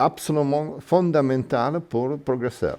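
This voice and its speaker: A man with an Italian accent speaks at a very slow pace in a dark, mellow tone. His pitch is fairly high, with ordinary variation. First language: Italian (speaking French). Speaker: miniature figure painter. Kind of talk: workshop demonstration. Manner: halting.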